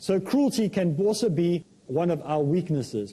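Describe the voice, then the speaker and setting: With a dark, mellow tone, a man speaks at a high pitch and a moderate pace with lively intonation. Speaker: Islamic preacher. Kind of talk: religious talk show lecture.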